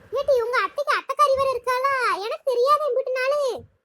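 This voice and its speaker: Squeaky and extremely high, a woman's put-on character voice moves at a moderate pace with fairly even intonation in a dry, close sound with no echo. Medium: cartoon. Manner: blunt, commanding.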